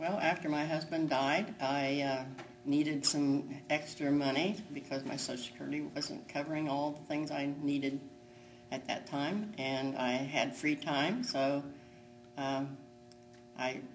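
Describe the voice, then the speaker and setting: A woman's very deep, low voice at a fairly slow pace, with fairly even intonation. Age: 80s+. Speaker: retail worker. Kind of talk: interview answer.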